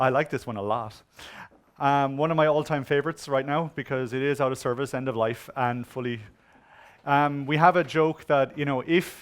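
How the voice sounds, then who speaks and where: In an Irish accent, a man with a medium pitch speaks in an animated tone. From Ireland. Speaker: conference speaker on web security. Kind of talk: conference talk. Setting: stage with audience.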